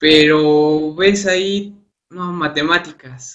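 Here a man speaks at a very slow pace in a fairly high, bright, sharp voice with fairly even intonation. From Mexico, Hidalgo. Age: 20s. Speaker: university student. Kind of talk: interview. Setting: online live broadcast.

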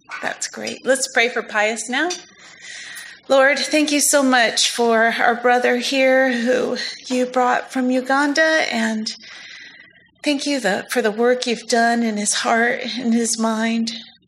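Over noticeable background noise, a woman with a high pitch talks at a very slow pace with fairly even intonation. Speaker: church ministry leader. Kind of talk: prayer.

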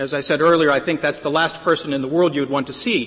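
Over noticeable background noise, the voice moves at a very fast pace with ordinary pitch variation. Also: man. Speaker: lawyer arguing before the court. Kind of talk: appellate oral argument. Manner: halting, frequent repetitions.

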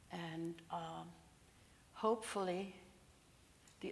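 A woman speaks with a fairly low pitch and vocal fry. Her intonation is monotone and flat. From Serbia (ethnic German community). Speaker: Holocaust survivor. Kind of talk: testimony. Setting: church.

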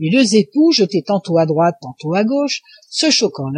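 An unforced reading voice carries the clip. Nothing much sounds behind it.

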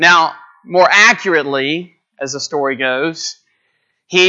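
A man talks with a Texan accent. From Texas, north of Houston. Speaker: visiting preacher. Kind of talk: sermon. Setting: church. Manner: conversational with fillers.

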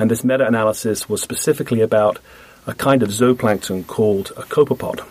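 A man with a British accent, medium pitch and ordinary pitch variation, fairly quick pace, noticeable background noise. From Britain (England). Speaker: marine biologist. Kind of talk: radio interview. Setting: radio studio.

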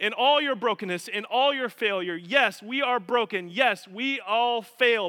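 The delivery is animated in tone. It moves at a fairly slow pace with ordinary pitch variation. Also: man. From Colorado, US. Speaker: pastor. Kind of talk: sermon.

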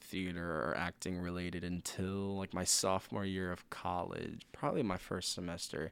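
With a very deep, low pitch and ordinary pitch variation, a man talks at a fairly quick pace on a very clean recording with a silent background. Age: 20s. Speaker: theater student. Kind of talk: casual chat.

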